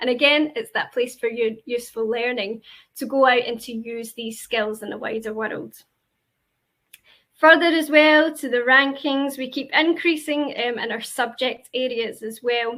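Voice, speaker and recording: A woman with a Glaswegian accent speaks in a high pitch with a bright, sharp tone at a moderate pace. Her pitch varies in an ordinary way, while her loudness swings widely. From Scotland, Glasgow. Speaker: university representative. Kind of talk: presentation. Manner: hesitant, many fillers.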